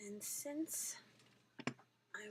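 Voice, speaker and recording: A soft-spoken woman with a fairly high pitch, amid noticeable background noise. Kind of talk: soft-spoken ASMR craft tutorial. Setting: home, near a microphone, dogs barking outside. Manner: soft-spoken, slow.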